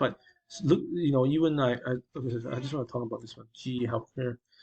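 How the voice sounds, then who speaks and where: This male speaker sounds somewhat breathy. He keeps up a fairly quick pace. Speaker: stock market commentator. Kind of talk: market recap tutorial. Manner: hesitant, many fillers.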